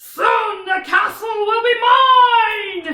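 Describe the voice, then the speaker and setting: The voice is a put-on character voice at an extremely high pitch. A slight echo hangs on the sound. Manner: menacing.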